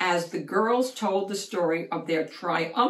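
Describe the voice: This is plain reading aloud. The voice reads the text plainly.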